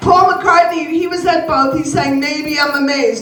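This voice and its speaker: A woman with an American accent speaks at an extremely high pitch. Noticeable background noise and audible room echo are present. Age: 70s. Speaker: comedian. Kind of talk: stand-up. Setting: stage with audience.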